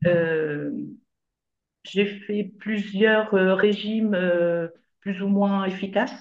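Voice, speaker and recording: At a very slow pace with long, frequent pauses, a woman speaks at a medium pitch with fairly even intonation. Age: 60s. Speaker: retired nurse, coaching client. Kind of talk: interview testimony. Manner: hesitant, many fillers.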